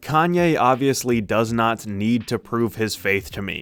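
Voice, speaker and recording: At a moderate pace, a man talks in an ordinary speaking voice with a medium pitch. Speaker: music reviewer. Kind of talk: opinion review rant.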